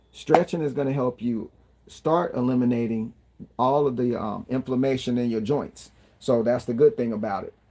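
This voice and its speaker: A man's voice, medium in pitch, with a dark, mellow tone. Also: ordinary pitch variation. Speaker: fitness vlogger. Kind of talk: casual livestream talk. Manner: fast.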